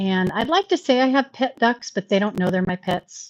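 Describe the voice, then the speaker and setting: This is an unremarkable speaking voice: a woman with an American accent at a fairly high pitch and moderate pace. Her intonation is lively, and the sound is dry and close with no echo. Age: 60s. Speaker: YouTuber. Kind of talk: live stream chat. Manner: casual, conversational.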